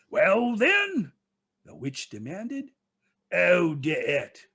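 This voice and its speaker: Putting on a shrill character voice, a man speaks at a very slow pace with a high pitch. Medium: read story. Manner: harsh, demanding.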